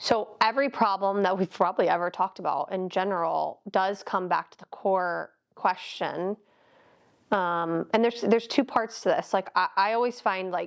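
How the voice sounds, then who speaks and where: At a moderate pace, a woman talks with a medium pitch and fairly even intonation. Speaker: podcast co-host and life coach. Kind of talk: casual chat. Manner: talkative, interrupting.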